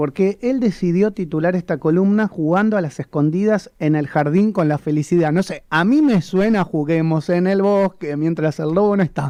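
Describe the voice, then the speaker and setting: Barely pausing, a man with a high pitch and a dark, mellow tone speaks at a moderate pace with ordinary pitch variation, the sound dry and close with no echo. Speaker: radio host. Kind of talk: radio interview.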